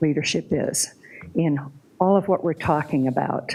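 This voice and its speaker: A woman with an American accent, a dark, mellow tone, ordinary pitch variation and a fairly slow pace. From Colorado, Douglas County. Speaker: public commenter. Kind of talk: public comment at meeting. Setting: public meeting.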